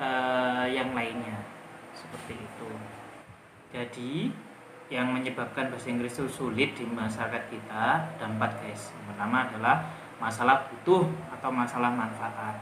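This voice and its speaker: With noticeable background noise and audible room echo, a man speaks at a moderate pace in a medium pitch, keeping his intonation fairly even. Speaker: English teacher. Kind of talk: tutorial. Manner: casual.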